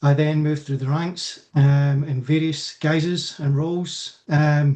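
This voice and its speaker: A man with a Scottish accent speaks in a dark, mellow tone, somewhat breathy and monotone with flat intonation. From Scotland. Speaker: electrical safety consultant. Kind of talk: self-introduction in webinar.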